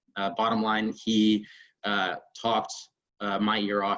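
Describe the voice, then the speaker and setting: A man talks with a Northern Virginia accent. His pitch is fairly low. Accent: American, Northern Virginia. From Northern Virginia, US. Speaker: military special operations officer. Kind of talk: personal talk to online audience. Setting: video call. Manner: halting, many fillers.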